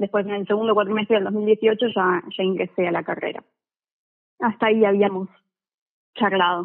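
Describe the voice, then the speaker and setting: Long, frequent pauses break up this woman's moderate pace. Her medium pitch stays monotone and flat. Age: 20s. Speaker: physics student. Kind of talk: casual chat. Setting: phone call.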